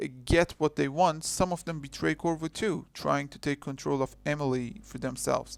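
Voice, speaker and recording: Against a silent background in a very clean recording, the speaker talks at a moderate pace with a non-native accent. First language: not English. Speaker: video essayist. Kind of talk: video essay narration. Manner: halting.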